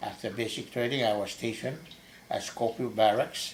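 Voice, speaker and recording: Amid noticeable background noise, a man speaks in a medium pitch with monotone, flat intonation. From Saipan, Northern Mariana Islands. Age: 70s. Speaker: army veteran. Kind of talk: oral history interview. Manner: halting.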